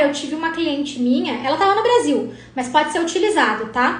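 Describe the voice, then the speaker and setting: The delivery is animated, with very wide pitch swings. Room echo can be heard. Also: woman. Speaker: lawyer teaching probate practice. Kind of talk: live stream Q&A tutorial. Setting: live stream.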